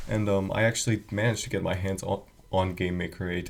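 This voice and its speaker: This voice is quiet and somewhat breathy. Its intonation stays fairly even. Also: man. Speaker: game developer, video creator. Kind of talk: casual screen-recorded walkthrough. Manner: quiet, hushed; hesitant, many fillers.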